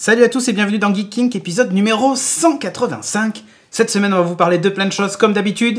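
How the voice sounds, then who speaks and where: Talking at a very fast pace, a man with a high-pitched voice shows ordinary pitch variation. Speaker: tech podcast host. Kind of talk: casual chat. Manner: poorly articulated.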